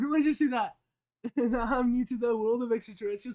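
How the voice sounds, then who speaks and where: Raised and projected, a man's extremely high voice carries ordinary pitch variation. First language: Spanish. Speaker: streamer. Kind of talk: live stream chat. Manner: casual, profane.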